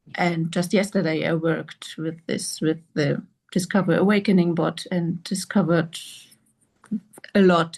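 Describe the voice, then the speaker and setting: Over a quiet background, a somewhat breathy woman speaks at a fairly slow pace with fairly even intonation. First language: not English. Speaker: participant in spiritual group call. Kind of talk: group Q&A sharing. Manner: halting.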